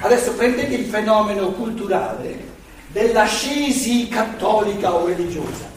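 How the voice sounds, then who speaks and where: A man's high voice at a moderate pace with ordinary pitch variation, amid audible room echo and noticeable background noise. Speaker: lecturer on philosophy. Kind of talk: lecture. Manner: loud, having to shout; animated.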